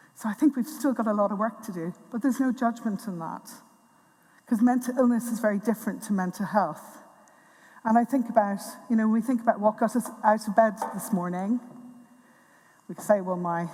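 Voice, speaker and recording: A woman's fairly high voice in an Irish accent, fairly quick yet broken by long, frequent pauses, with ordinary pitch variation and big swings in loudness. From Tipperary, Ireland. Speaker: NHS mental health director. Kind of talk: conference talk.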